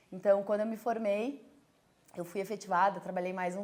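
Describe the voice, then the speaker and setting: A woman's medium-pitched voice carries a monotone, flat intonation. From southern Brazil, Rio Grande do Sul (Caxias do Sul). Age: 30s. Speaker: entrepreneur, brewery co-founder. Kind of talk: personal testimony. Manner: casual, with frequent fillers.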